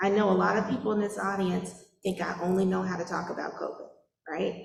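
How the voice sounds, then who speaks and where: A woman talks at a moderate speed, and the room's echo can be heard. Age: 40s. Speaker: public health official. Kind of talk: public meeting Q&A answer. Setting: church meeting with audience.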